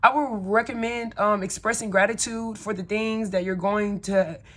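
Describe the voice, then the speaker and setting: A woman with a Southern US accent, medium in pitch and fairly even in intonation. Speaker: spiritual content creator. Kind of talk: casual talk-to-camera tutorial. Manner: casual, conversational with fillers.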